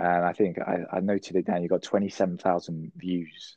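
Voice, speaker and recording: Very deep, low male voice with monotone, flat intonation at a fairly quick pace. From England. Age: 30s. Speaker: letting agent, business owner. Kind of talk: casual interview. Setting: remote video call.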